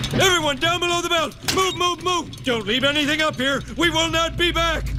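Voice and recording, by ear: Over loud background noise, a man performs a cartoonish character voice. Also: moderate pace.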